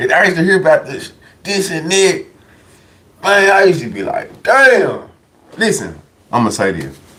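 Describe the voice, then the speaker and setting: With audible room echo, a man speaks in an animated tone, leaving long, frequent pauses. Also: moderate pace. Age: 30s. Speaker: livestream commentator. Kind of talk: casual livestream storytelling.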